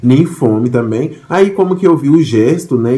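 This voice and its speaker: Lively intonation at a fairly slow pace. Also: man. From Haiti. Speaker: vlogger. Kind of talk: casual vlog monologue. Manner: halting, with repetitions and fillers.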